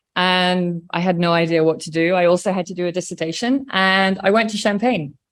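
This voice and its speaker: A woman speaks with an English accent at a fairly quick pace. The recording is very clean, with a silent background. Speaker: wine producer. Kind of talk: casual interview chat.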